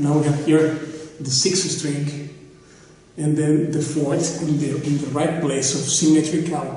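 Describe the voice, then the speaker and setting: A man talks at a fairly slow pace in a space with strong room echo. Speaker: guitar seller or maker. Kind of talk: product demonstration. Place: home room. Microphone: phone near.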